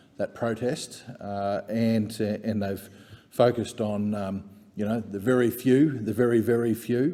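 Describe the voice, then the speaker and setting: With an Australian accent, a man speaks in a medium pitch at a moderate pace. His tone is dark and mellow, his intonation fairly even. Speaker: member of parliament. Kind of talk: parliamentary speech. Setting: parliament chamber.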